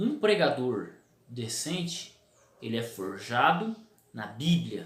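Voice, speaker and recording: A man speaks very slowly at a medium pitch, with vocal fry and very wide pitch swings. Room echo is audible. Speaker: preacher and theology video host. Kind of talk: casual talk to camera. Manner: repetitive filler stammers.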